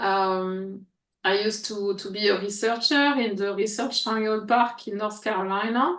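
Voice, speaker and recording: A woman with a French accent, fairly even intonation and a fairly slow pace, against a quiet background. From France, Paris. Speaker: coach and former researcher. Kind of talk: interview. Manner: halting, with fillers.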